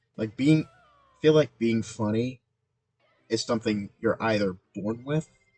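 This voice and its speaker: With music in the background, a man of medium pitch speaks at a fairly slow pace, leaving long, frequent pauses, in a dry, close sound with no echo. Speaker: gaming streamer. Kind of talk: casual gameplay livestream commentary. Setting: livestream. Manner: monotone.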